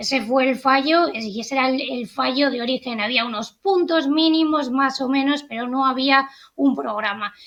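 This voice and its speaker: A woman with a European Spanish accent speaks at a moderate pace. Her pitch is high, with ordinary variation. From Spain. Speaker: journalist and political analyst. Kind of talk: interview analysis.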